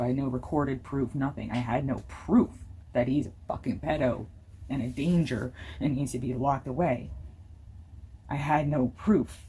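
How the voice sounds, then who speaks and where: Very deep and low in pitch, a woman speaks at a moderate pace with a dark, mellow tone, vocal fry and ordinary pitch variation. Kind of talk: casual talk to camera.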